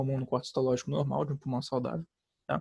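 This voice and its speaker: Somewhat breathy and dark, mellow in tone, the voice comes through a very clean recording with a silent background. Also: man. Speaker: student tutor. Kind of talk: lecture. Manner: fast; casual, halting.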